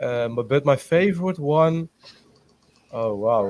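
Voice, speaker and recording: A man talks very slowly. His pitch is medium. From Netherlands. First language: Dutch. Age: 20s. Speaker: pageant contestant. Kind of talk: interview. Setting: video call. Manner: halting, many fillers.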